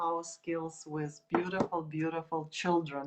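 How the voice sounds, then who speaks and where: Speaking at a fairly slow pace, a woman talks with a Russian accent. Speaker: art teacher. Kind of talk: tutorial. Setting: live video stream.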